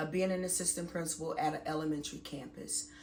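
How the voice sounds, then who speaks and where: At a fairly quick pace, a woman speaks with ordinary pitch variation amid audible room echo. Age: 40s. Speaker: vlogger and school administrator. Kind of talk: casual vlog talk to camera.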